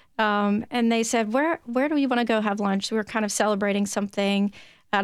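A woman's medium-pitched voice with a Tennessee accent at a fairly quick pace, on a very clean recording with a silent background. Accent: Tennessee twang. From Tennessee (Williamson County). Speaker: gun safety advocate, parent. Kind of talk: interview testimony.

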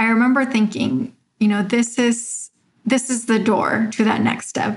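At a moderate pace, a woman talks in a somewhat breathy voice that sits fairly high. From Mexico, raised in Arizona. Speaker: doctor. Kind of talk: interview.

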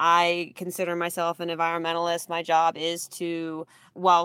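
The recording is very clean with a silent background as a woman speaks at a moderate pace with a fairly low pitch. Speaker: forestry pest management specialist. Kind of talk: radio interview.

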